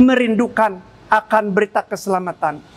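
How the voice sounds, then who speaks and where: This man's pitch is extremely high, with ordinary pitch variation, and noticeable background noise sits underneath. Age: 60s. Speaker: pastor. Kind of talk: sermon. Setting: recorded pastoral video.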